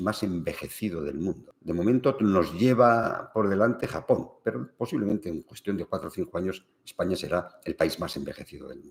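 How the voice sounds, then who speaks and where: A man's plain, everyday voice at a fairly low pitch and fairly quick pace. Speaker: family business consultant. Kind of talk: livestream talk.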